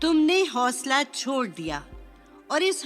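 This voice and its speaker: Over music in the background, a woman talks in a high pitch with lively intonation. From Pakistan. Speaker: voice artist. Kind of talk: religious scripture translation reading.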